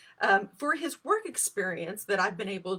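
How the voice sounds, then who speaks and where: Against noticeable background noise, a woman of medium pitch speaks at a moderate pace with lively intonation. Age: 50s. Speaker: political candidate. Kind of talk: campaign livestream talk. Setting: live stream. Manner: halting, many fillers.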